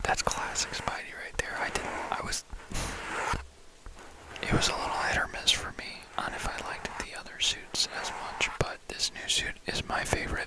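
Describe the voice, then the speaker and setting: Someone whispers in a relaxed tone with long, frequent pauses over noticeable background noise. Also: moderate pace. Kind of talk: ASMR ramble, casual talk to camera about movies. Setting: close microphone with mic brushing and tapping sounds. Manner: relaxed, soft-spoken.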